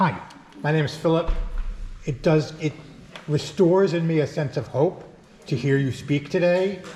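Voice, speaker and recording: Speech comes at a moderate pace with ordinary pitch variation, broken by long, frequent pauses. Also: man, fairly high pitch for a man. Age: 60s. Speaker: activist. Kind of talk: audience question.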